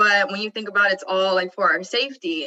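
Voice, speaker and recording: The voice is loud. Its tone is bright and sharp. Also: woman. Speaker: student athlete. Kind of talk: panel discussion. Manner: animated.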